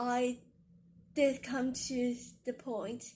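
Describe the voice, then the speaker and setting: This is a woman speaking. She has a Chinese accent. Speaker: poet and video creator. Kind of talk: casual explainer vlog. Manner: halting, with fillers.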